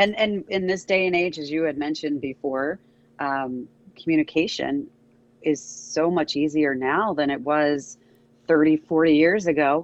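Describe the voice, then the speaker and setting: A woman's very deep, low voice, with ordinary pitch variation at a moderate pace. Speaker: traffic reporter. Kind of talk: casual chat.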